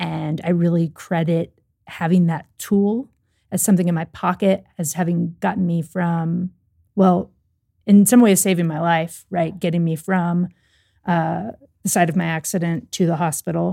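This woman has a fairly low pitch and an American accent. She talks at a moderate pace in a plain, everyday voice. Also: fairly even intonation. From US South, Louisville, Kentucky. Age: 30s. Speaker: accessibility app team member. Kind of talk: casual interview chat. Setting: studio.

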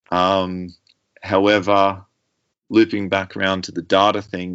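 A man speaks with an Australian accent at a very deep, low pitch. His intonation is monotone and flat. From Australia, rural New South Wales. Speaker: mountain bike suspension tuner and former race mechanic. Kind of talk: interview.

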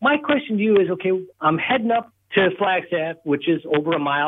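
An unremarkable speaking voice belongs to a man. He keeps a moderate pace with lively intonation. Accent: American. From Wisconsin. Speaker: radio show caller. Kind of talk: call-in question to host.

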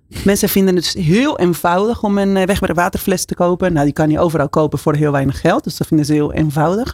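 A woman with a Spanish accent talks very fast, with hardly any pauses, at a fairly low pitch with ordinary pitch variation. The sound is dry and close, with no echo. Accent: Spanish-accented Dutch. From Argentina, Buenos Aires. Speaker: company CEO. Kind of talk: radio interview. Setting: studio.

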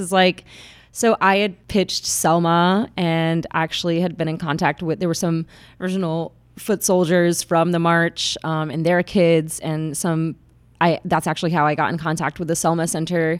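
In a plain, everyday voice with an American accent, a woman speaks at a moderate pace with fairly low pitch and ordinary pitch variation, on a very clean recording with a silent background. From Atlanta, Georgia, US South. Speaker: documentary photographer. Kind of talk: casual interview chat.

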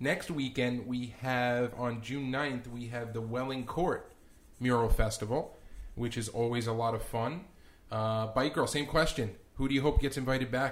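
Here is an ordinary speaking voice at a moderate pace, with fairly even intonation. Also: man, medium pitch for a man. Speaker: podcast co-host. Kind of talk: casual podcast chat.

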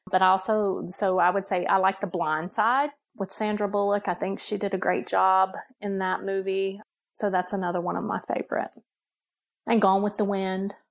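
Against a quiet background, a woman with an American accent speaks at a moderate pace in an ordinary speaking voice, her medium pitch held in fairly even intonation. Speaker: human resources director. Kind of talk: casual chat.

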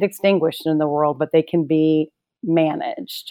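A woman with an American accent and an ordinary speaking voice, moderate in pace with ordinary pitch variation, in a dry, close sound with no echo and a very clean recording with a silent background. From US South. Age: 50s. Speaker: political communications strategist. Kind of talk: interview conversation.

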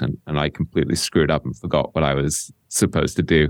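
This man talks at a fairly quick pace. His very deep, low voice carries vocal fry. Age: 50s. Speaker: author and podcast host on investing. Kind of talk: interview conversation. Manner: reflective, thinking aloud with restarts.

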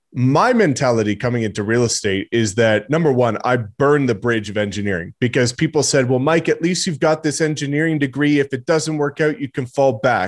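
Speaking at a fairly quick pace, a man with a Canadian accent has an ordinary speaking voice and ordinary pitch variation. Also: medium pitch for a man, hardly any pauses. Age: 20s. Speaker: real estate agent. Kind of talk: podcast interview. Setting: video call.

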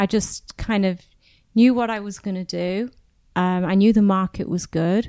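A woman with a British accent, medium in pitch and dark and mellow in tone, at a moderate pace with fairly even intonation, in a very clean recording with a silent background. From England. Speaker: podcast host. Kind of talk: interview. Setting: hotel recording venue.

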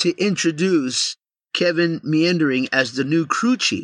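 A man speaks at a fairly slow pace with a fairly high pitch and a bright, sharp tone. His delivery is animated with lively intonation, and the sound is dry and close with no echo. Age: 40s. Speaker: podcast co-host. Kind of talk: casual chat.

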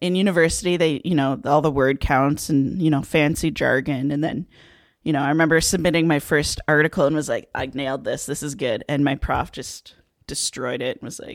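A woman's very deep, low voice with a Canadian accent, at a fairly quick pace, in a very clean recording over a silent background. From southern Ontario, Canada. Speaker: teacher. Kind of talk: casual interview.

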